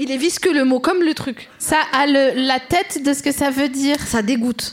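A woman speaks in a high pitch at a moderate pace. Noticeable background noise runs underneath. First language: Arabic (speaking French). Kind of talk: casual chat.

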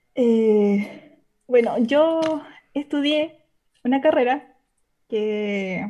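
A woman speaks in a Chilean accent with a high pitch. Her pitch variation is ordinary. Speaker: caller seeking advice. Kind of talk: personal conversation. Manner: halting.

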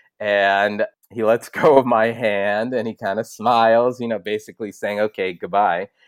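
In an American accent, a man speaks at a fairly low pitch and a moderate pace with fairly even intonation. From Los Angeles, US. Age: 50s. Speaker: film producer. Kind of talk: interview.

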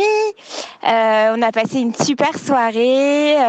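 A woman's high-pitched voice. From Paris. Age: 20s. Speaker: marketing worker. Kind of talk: casual chat.

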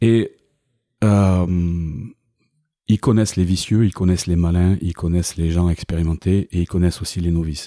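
Very deep and low, a man's dark, mellow voice keeps a fairly even intonation with long, frequent pauses. The sound is dry and close with no echo, on a very clean recording with a silent background. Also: moderate pace. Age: 50s. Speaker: ex-prisoner and business owner. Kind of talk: interview testimony.

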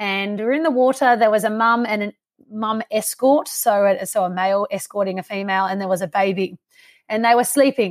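At a moderate pace, a woman with an Australian accent speaks with ordinary pitch variation on a very clean recording with a silent background and a dry, close sound with no echo. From Canberra area, Australia. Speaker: wildlife scientist. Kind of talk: casual interview.

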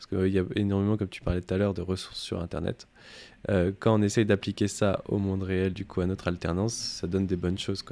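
A man speaks very fast in a fairly low, dark, mellow voice with monotone, flat intonation and big swings in loudness. The recording is very clean, with a silent background. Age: 20s. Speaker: podcast host, UX/UI design apprentice. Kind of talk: interview. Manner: hesitant, many fillers.

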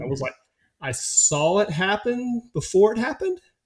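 The speaker has a Southern US accent and sounds somewhat breathy. The recording is very clean with a silent background. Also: man. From rural US. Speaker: former football player and meditation teacher. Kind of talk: casual interview conversation.

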